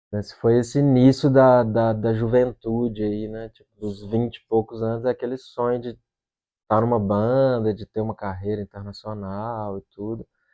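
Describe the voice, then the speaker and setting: A man's monotone, flat delivery at a medium pitch and moderate pace, with big swings in loudness. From Brazil, Belo Horizonte (Minas Gerais). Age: 40s. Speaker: rock musician. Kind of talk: interview. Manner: casual, conversational.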